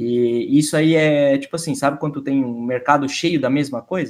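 Speaking at a moderate pace, a man with a plain, everyday voice uses a fairly high pitch and ordinary pitch variation. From Santa Catarina, southern Brazil. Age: 20s. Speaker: streamer and esports journalist. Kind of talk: casual chat. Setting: live stream.

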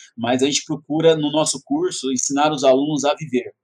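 This man speaks with ordinary pitch variation. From Brazil, São Paulo metro area. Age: 30s. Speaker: educator, prep course founder. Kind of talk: interview.

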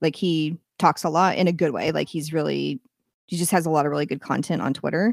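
A woman at a very deep, low pitch with vocal fry, very fast pace and fairly even intonation, on a very clean recording with a silent background. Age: 40s. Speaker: short fiction writer and podcaster. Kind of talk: casual chat. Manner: sounds younger than her age.

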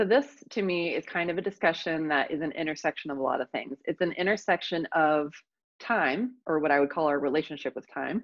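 A woman with an American accent speaks at a fairly quick pace, her fairly low pitch moving with ordinary variation. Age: 30s. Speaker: mindset coach. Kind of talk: interview. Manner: animated.

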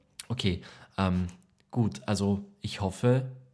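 A man's fairly low, dark, mellow voice with ordinary pitch variation at a very slow pace, on a very clean recording with a silent background. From Lower Austria. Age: 20s. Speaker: actor, podcast co-host. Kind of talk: casual chat.

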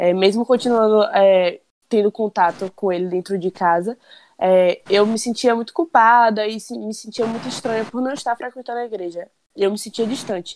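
A woman with an unremarkable speaking voice talks at a moderate pace, her pitch fairly high, in a dry, close sound with no echo. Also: ordinary pitch variation. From Conceição do Coité, Bahia, Brazil. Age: 20s. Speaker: podcast co-host, friend. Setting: remote recording.

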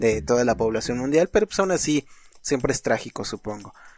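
With music in the background, a man at medium pitch talks at a fairly quick pace with a Mexican accent. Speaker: podcast host. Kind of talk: casual chat.

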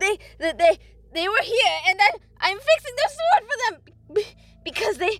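A woman's put-on character voice at an extremely high pitch, fairly bright in tone, with big pitch swings and a moderate pace

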